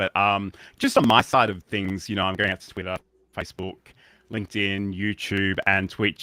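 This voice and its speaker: A man with an Australian accent speaks at a fairly quick pace and fairly low pitch, his tone bright and sharp with fairly even intonation. The recording is very clean with a silent background and a dry, close sound with no echo. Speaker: livestreaming educator and show co-host. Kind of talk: casual tech talk show chat. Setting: live stream in browser studio. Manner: hesitant, many fillers.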